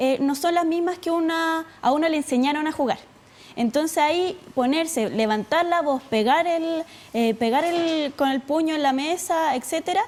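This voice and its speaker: A woman with a Chilean accent speaks at a moderate pace in an extremely high pitch. Her pitch varies in an ordinary way and her loudness stays very even. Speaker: student leader. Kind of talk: TV interview. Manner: halting, many fillers.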